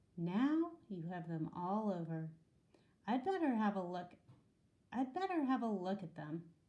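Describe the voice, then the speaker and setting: Doing a put-on character voice, a woman speaks at a medium pitch and moderate pace with lively intonation and long, frequent pauses. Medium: read story. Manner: stern, precise.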